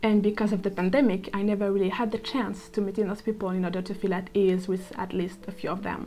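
Very fast, monotone speech in a French accent, flat in intonation, with hardly any pauses and noticeable background noise. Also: woman, medium pitch for a woman. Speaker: architecture student, vlogger. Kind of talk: personal reflective monologue.

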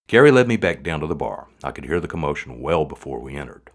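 The intonation is lively as a text is read aloud in a natural voice.

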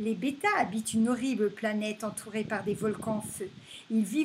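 Here a person is reading aloud in a natural voice.

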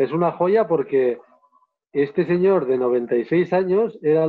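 Against a quiet background, a man speaks with a fairly high pitch and ordinary pitch variation. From Navarre, Spain. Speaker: photographer and filmmaker, travel guide. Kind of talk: live online interview. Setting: live video stream. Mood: warm, enthusiastic storytelling. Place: home room. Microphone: earbuds.

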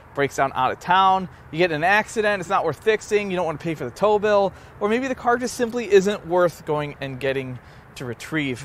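With light background noise and a dry sound with no echo, a man speaks at a fairly quick pace while his pitch swings very widely. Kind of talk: casual vlog chat. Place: street.

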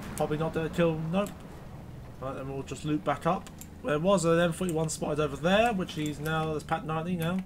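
A man with a British accent, fairly high in pitch, fairly even in intonation and fairly quick in pace. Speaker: gaming YouTuber. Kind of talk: casual gameplay commentary and review. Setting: recorded gameplay voiceover. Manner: casual, sarcastic.

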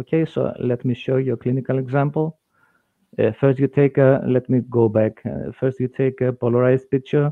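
A man's medium-pitched voice, fairly even in intonation, at a moderate pace, with a dry sound with no echo and a quiet background. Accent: Greek. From Greece. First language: Greek. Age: 50s. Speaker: dentist and lecturer; lecturer. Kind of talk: lecture. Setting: video call. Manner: halting. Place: home room. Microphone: headset.

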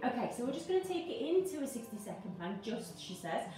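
The speech runs at a very fast pace, with audible room echo and light background noise. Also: woman. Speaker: fitness instructor. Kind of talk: workout instruction. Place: home room. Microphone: camera far.

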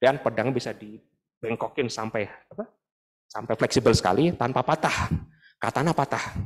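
Against a quiet background, a man with a plain, everyday voice speaks at a moderate pace and medium pitch with ordinary pitch variation. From Indonesia, Bandung; Indonesia. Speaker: dental professor, guest lecturer. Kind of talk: lecture. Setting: lecture hall with audience. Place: hall. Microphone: handheld.

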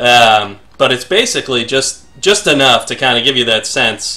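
A man's voice with a bright, sharp tone. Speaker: former lead programmer, game developer. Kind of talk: casual podcast talk over gameplay. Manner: loud.

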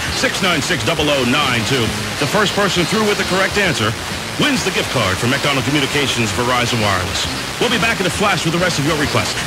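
A man talks very fast while loud background noise fills the clip. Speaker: radio DJ. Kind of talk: oldies radio show host patter. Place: studio.

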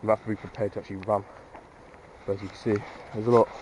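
A man talks at a very fast pace in a monotone, flat delivery. The sound is dry with no echo, with light background noise. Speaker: urban explorer vlogger. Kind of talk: casual vlog chat. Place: open country. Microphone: phone near.

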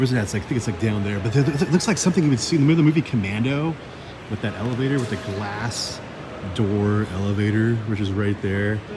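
With music playing in the background, a man talks very fast with ordinary pitch variation. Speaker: vlogger exploring a mall. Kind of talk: casual vlog chat. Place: hall. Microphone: phone near.

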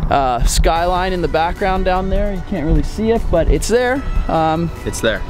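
Clear music plays behind a man whose high pitch shows ordinary variation as he speaks at a moderate pace in a dry sound with no echo. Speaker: vlogger. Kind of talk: casual vlog chat. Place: waterside. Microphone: phone near.

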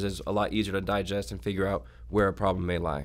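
Vocal fry runs through a fairly quick delivery in an American accent, with ordinary pitch variation. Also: man. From Oklahoma City. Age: 20s. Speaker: startup founder; guest. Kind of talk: interview. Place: studio. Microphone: studio mic.

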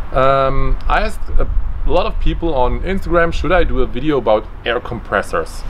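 Over light background noise, a man with a non-native accent speaks at a moderate pace. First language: German. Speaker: DIY maker. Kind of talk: unscripted explainer to camera. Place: garden.

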